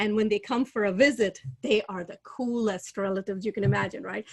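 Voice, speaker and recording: A woman with an American accent, medium pitch, fairly even intonation and a moderate pace. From India, Chennai. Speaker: real estate investor. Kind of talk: interview.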